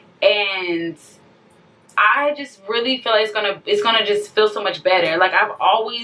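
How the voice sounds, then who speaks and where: Noticeable background noise accompanies a woman whose medium-pitched voice shows ordinary pitch variation. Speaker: vlogger. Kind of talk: emotional rant to camera. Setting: self-recorded video.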